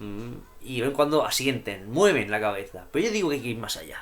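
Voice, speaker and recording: Animated in tone, a man talks at a fairly quick pace in a Murcian accent. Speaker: YouTuber discussing poetry and philosophy. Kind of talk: vlog monologue.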